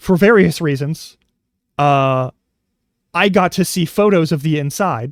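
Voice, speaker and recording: A man with an American accent and a fairly high voice speaks at a fairly slow pace, with ordinary pitch variation. He leaves long, frequent pauses, and the recording is very clean with a silent background. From US West Coast. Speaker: streamer. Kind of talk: casual chat. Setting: live stream. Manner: rambling, self-interrupting.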